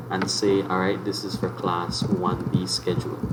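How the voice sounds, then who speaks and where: Moderate pace with noticeable background noise and audible room echo. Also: man. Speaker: teacher. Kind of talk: tutorial. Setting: live online class.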